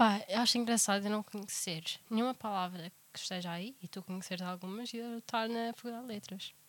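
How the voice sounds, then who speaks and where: The speaker has an unremarkable speaking voice, with fairly even intonation at a fairly quick pace. Loudness takes big swings. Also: woman, medium pitch for a woman. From Portugal. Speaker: podcast co-host. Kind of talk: casual chat.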